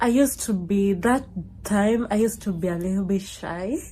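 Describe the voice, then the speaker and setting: This woman's somewhat breathy voice sits at a medium pitch with a dark, mellow tone and ordinary pitch variation. She speaks at a fairly slow pace with an African accent. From Kenya. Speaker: YouTuber. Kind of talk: casual storytime. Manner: conversational with many fillers.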